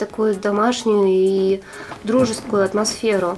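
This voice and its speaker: Over noticeable background noise, a woman with a fairly high voice speaks at a fairly slow pace. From Arkhangelsk, northern Russia. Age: 20s. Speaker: entrepreneur, clothing shop owner. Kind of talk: interview.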